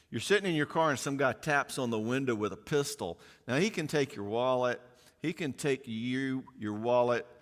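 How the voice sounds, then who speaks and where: A man with a Southern US accent speaks at a medium pitch with ordinary pitch variation. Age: 60s. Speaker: psychologist speaking on parenting. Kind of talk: conference talk. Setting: conference with live audience. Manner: animated; fast.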